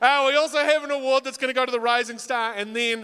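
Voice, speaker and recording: A man with a New Zealand accent uses a raised, projected voice with an animated, bright and sharp tone on a very clean recording with a silent background. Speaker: talent show host and comedian. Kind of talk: live emcee hosting with stand-up jokes. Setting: stage with audience.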